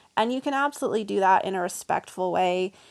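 A woman with an American accent talks at a fairly quick pace in an unremarkable speaking voice, pitched in the middle range. The recording is very clean, with a silent background. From US South. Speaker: vegan coach and writer. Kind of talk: casual interview.

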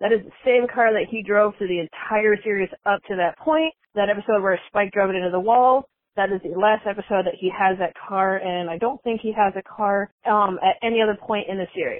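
With an ordinary speaking voice, a woman talks at a fairly quick pace with ordinary pitch variation and hardly any pauses. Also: medium pitch for a woman. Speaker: caller. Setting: phone call.

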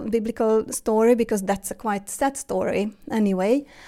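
Fairly high-pitched woman's voice in a Hungarian accent, dark and mellow in tone, at a moderate pace with fairly even intonation. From Hungary. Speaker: interview guest, mother. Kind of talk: casual interview. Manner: halting.

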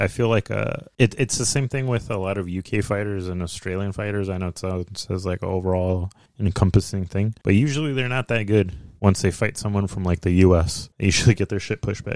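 With an American accent and an unremarkable speaking voice, a man talks at a fairly quick pace and fairly low pitch with ordinary pitch variation, in a dry, close sound with no echo. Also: very clean recording, silent background. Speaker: podcast host.

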